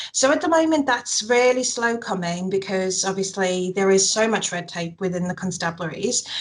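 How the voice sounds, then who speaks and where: With hardly any pauses, a woman keeps a moderate pace as noticeable background noise carries on behind her. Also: medium pitch for a woman, lively intonation. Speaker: mental health campaigner. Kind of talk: interview. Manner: halting.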